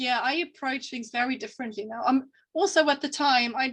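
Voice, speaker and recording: Speaking with a non-native accent, a woman keeps a high pitch and fairly even intonation. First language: not English. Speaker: fantasy author. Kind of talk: podcast interview. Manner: halting.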